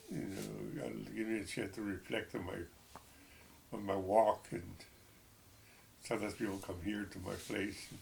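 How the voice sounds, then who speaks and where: Speaking at a moderate pace with an American accent, a man uses a fairly low pitch with ordinary variation and long, frequent pauses, with audible room echo around him. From Texas. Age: 70s. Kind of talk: personal testimony. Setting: at home. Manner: halting.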